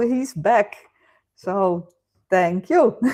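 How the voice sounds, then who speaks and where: On a very clean recording with a silent background, a woman with a Dutch accent speaks at a very slow pace, her pitch swinging very widely. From Netherlands. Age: 50s. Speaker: live stream host. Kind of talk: casual chat. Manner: hesitant with fillers.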